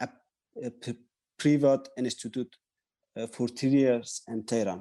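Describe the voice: A man speaks at a medium pitch with a dark, mellow tone.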